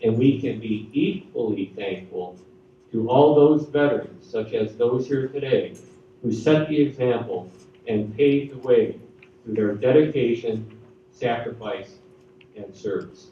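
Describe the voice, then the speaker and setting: Audible room echo surrounds a man with an American accent speaking at a fairly slow pace. His pitch varies in an ordinary way, and his loudness swings widely. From US Midwest, Chicago. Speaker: retired army general. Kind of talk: school assembly speech. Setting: school assembly with audience. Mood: solemn, grateful.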